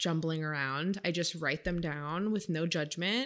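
A woman with an American accent has a normal speaking voice, a fairly low pitch and fairly even intonation. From Maine, US. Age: 20s. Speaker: nutrition coach. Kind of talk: casual chat.

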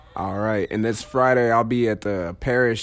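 With a plain, everyday voice, a man talks at a moderate pace and medium pitch with fairly even intonation. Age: 20s. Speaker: podcast host and comedian. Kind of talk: casual chat. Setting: studio.

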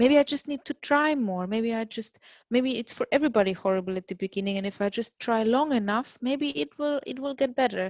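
A woman with a German accent talks at a fairly high pitch and a fairly quick pace, with ordinary pitch variation. The sound is dry and close with no echo, over a quiet background. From Germany. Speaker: mother sharing birth story. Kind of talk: testimony.

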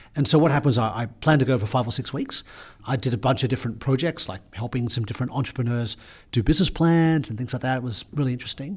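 A man with an Australian accent speaks very fast, somewhat breathy, with lively intonation at a medium pitch. The recording is very clean, with a silent background. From Sydney, Australia (North Shore). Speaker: business executive. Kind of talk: interview.

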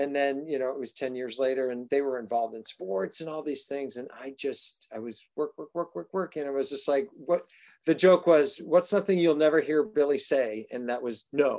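Over a quiet background, a man with an American accent and a normal speaking voice talks at a moderate pace with hardly any pauses. His fairly high pitch has lively intonation, and his loudness swings widely. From Massachusetts. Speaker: actor and singer. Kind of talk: casual chat.

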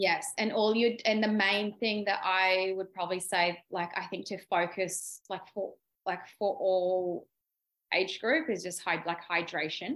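In a very clean recording with a silent background, a woman is heard. She talks fairly slowly. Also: medium pitch for a woman, ordinary pitch variation. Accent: Australian. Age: 30s. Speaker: beauty therapist. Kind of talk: casual chat.

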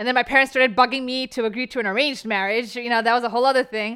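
A woman with a New Jersey accent speaks at a fairly high pitch in a bright, sharp, animated tone. The recording is very clean, with a silent background. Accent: New Jersey American. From New Jersey, US. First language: Bengali. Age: 30s. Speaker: comedian and reality TV contestant. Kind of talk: casual interview chat. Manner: animated, laughs often.

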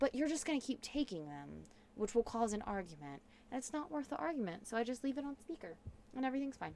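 Loud and very fast, this dark, mellow voice moves through very wide pitch swings. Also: woman, high pitch for a woman. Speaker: host's wife, guest. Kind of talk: casual chat. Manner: loud, spikes in volume.

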